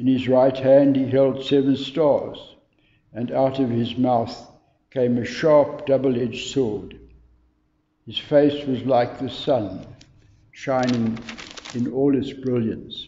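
A man speaks very slowly in a flat monotone, with long, frequent pauses. Audible room echo is present. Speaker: scripture reader. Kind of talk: bible reading. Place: church. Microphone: camera far.

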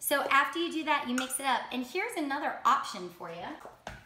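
A woman speaks at a moderate pace. Noticeable background noise is heard. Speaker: host demonstrating a recipe. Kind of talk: casual cooking tutorial. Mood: playful, laughing. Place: kitchen. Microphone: camera far.

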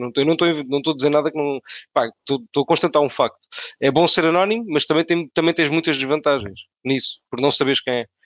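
A man with a European Portuguese accent speaks in a fairly high voice, the sound dry and close with no echo. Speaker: podcast co-host. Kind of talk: casual chat.

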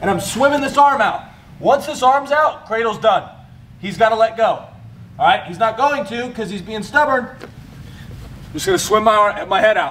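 Over light background noise, a high-pitched man speaks with lively intonation and big swings in loudness. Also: moderate pace. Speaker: wrestling coach. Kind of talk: tutorial. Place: gym. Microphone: camera far.

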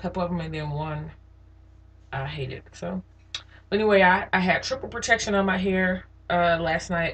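A woman speaks at a moderate pace, somewhat breathy, with fairly even intonation. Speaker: hair vlogger. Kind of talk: casual vlog chat. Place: bathroom. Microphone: webcam.

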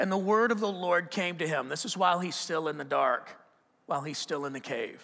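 Bright and sharp in tone, a man talks at a fairly quick pace with a high pitch, an animated tone and ordinary pitch variation. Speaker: preacher. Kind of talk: sermon. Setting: church. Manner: conversational, animated, with repeated restarts and rhetorical questions. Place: church. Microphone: headset.

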